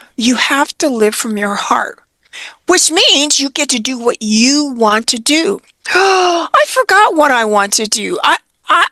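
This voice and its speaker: A woman uses a raised, projected voice at a high pitch, with very wide pitch swings. She goes at a fairly slow pace, and the sound is dry and close with no echo. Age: 70s. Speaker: retirement coach. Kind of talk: interview. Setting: podcast interview.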